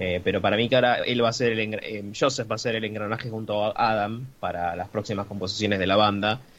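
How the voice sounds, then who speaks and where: With an Argentine accent, the speaker races along at a very fast pace with hardly any pauses and fairly even intonation. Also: man, fairly low pitch for a man. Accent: Argentine Spanish (Rioplatense). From Argentina. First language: Spanish. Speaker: music blogger, interviewer. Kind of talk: interview. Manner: hesitant, many fillers.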